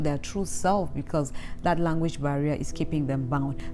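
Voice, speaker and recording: A woman's very deep, low voice with a Cameroonian accent and ordinary pitch variation, with music in the background and audible room echo. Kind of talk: vlog talk to camera.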